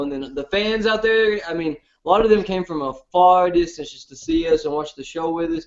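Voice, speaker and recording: A man talks at a fairly quick pace with a strong Southern US accent. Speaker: reality TV contestant, show host. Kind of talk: casual chat. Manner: hard to understand, fast.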